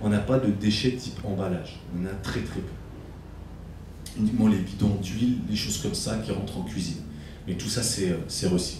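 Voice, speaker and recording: Over noticeable background noise and audible room echo, a man speaks at a moderate pace with a fairly low pitch and fairly even intonation. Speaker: farm guide giving a tour. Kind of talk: guided tour explanation. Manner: hesitant, many fillers.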